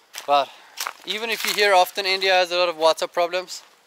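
The voice moves at a moderate pace with fairly even intonation, and the sound is dry with no echo. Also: man. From Germany. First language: German. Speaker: travel vlogger. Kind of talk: casual vlog monologue. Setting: outdoors. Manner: conversational with frequent fillers. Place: forest. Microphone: phone near.

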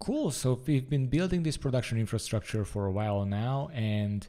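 Lively intonation rides on a dark, mellow tone at a moderate pace against a quiet background. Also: man. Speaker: presenter. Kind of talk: tutorial.

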